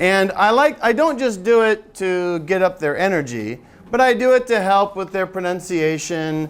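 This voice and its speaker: A loud, high-pitched man's voice with lively intonation and an American accent. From US Midwest, Michigan. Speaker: English teacher, seminar presenter. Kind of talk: teacher-training seminar talk. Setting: seminar room with audience, no microphone.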